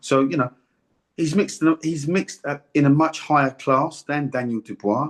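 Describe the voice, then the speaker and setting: A man with a normal speaking voice talks at a moderate pace with fairly even intonation. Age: 60s. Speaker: retired boxer, former world champion. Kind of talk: interview.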